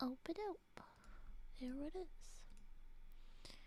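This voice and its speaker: A soft-spoken woman is whispering. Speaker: streamer reading spooky stories. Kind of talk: casual chat with reading aloud. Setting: live stream.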